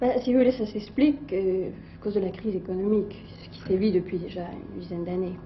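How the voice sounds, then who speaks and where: A woman at medium pitch talks very fast with ordinary pitch variation and big swings in loudness. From France. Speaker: French emigrant living abroad. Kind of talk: interview. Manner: hesitant.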